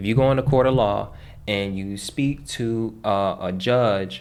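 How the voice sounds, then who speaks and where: Here a man with a plain, everyday voice talks at a medium pitch with ordinary pitch variation. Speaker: online finance and debt educator. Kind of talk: tutorial. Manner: casual, conversational.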